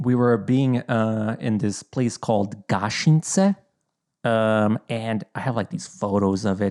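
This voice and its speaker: Speaking very slowly in a Bosnian accent, a man uses a medium pitch and ordinary pitch variation, the sound dry and close with no echo. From Bosnia, raised in Idaho from about age 10. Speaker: content creator. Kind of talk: casual chat. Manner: halting, many fillers.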